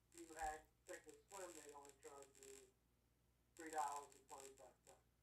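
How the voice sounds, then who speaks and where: A man with a fairly high pitch speaks at a moderate pace in a monotone, flat intonation. His loudness swings widely. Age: 70s. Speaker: options trading expert. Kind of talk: casual chat.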